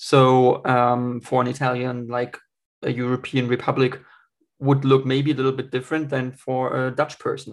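A man with a German accent and medium pitch speaks in a monotone, flat intonation at a moderate pace against a quiet background. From Germany. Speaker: podcast host. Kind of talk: podcast interview. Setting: video call.

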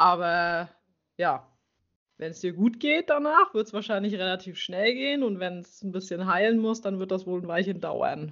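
A woman with an unremarkable speaking voice talks at a moderate pace and medium pitch, showing ordinary pitch variation and big swings in loudness. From Mecklenburg-Vorpommern, near Schwerin. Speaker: riding instructor. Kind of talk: interview.

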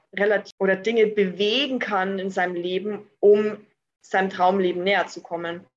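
In an ordinary speaking voice, a woman speaks at medium pitch and a moderate pace. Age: 20s. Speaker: entrepreneur. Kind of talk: interview.

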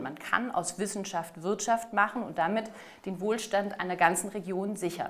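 This is an unremarkable speaking voice from a woman at medium pitch. She talks at a moderate pace with ordinary pitch variation. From southern Germany, Ostalb (Aalen), Baden-Württemberg. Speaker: mayoral candidate, politician. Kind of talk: political interview.

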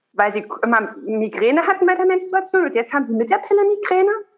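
Her pitch moves across a very wide range. The woman speaks at a moderate pace. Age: 30s. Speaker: gynecologist and lactation consultant. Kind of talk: interview.

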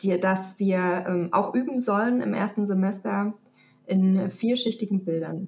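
Somewhat breathy speech with fairly even intonation. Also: woman. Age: 30s. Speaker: photography student and headhunter. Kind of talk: casual interview. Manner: hesitant, many fillers.

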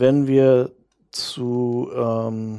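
A man with a dark, mellow tone and a medium pitch. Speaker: author and podcaster. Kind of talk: interview. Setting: remote call. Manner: hesitant.

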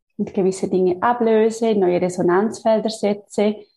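At a fairly slow pace, a woman talks at a medium pitch with a dark, mellow tone that is somewhat breathy. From Switzerland. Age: 30s. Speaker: physiotherapist and energy healer. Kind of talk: interview.

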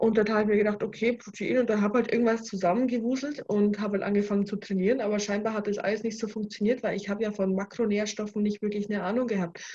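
A woman talks at a very fast pace with a fairly high pitch and fairly even intonation. Her tone is dark and mellow, and somewhat breathy. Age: 20s. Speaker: bikini fitness athlete. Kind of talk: casual chat.

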